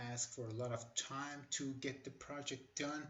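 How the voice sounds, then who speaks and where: A somewhat breathy man speaks with a non-native accent, using monotone, flat intonation at a moderate pace. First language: not English. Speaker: tech tutorial creator. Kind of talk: tutorial. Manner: hesitant, with many fillers.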